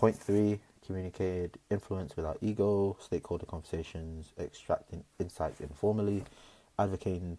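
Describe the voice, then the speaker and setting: A soft-spoken man with a very deep, low voice and a dark, mellow tone, at a moderate pace with fairly even intonation, in a very clean recording against a silent background. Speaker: vlogger, job-seeking service designer. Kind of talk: casual vlog monologue. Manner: hesitant, many fillers.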